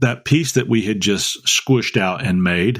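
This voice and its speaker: The pitch moves in an ordinary way, with a Southern US accent. The recording is very clean, with a silent background. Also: man. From North Carolina. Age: 60s. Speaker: podcast host. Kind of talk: casual chat. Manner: halting.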